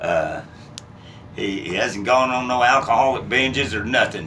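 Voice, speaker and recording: A man with a West Texas accent and ordinary pitch variation, amid noticeable background noise and audible room echo. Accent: West Texas drawl. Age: 60s. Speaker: business owner. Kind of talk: casual introductions on camera. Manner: halting, many fillers.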